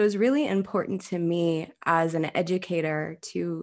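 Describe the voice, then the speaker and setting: Woman with a calm tone and fairly low pitch, ordinary pitch variation, against a quiet background. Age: 30s. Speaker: yoga therapist and author. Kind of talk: interview.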